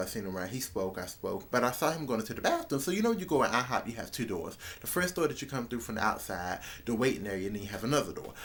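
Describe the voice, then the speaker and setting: A man speaks at a very fast pace with very wide pitch swings. Noticeable background noise runs underneath. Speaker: vlogger. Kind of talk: casual storytelling vlog.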